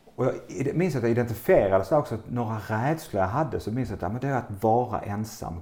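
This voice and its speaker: A man's medium-pitched voice, very fast and lively in intonation, with hardly any pauses. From southern Sweden, Skåne (Bjärred near Lund). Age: 50s. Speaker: entrepreneur and retreat center owner. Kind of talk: interview conversation. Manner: hesitant, with fillers.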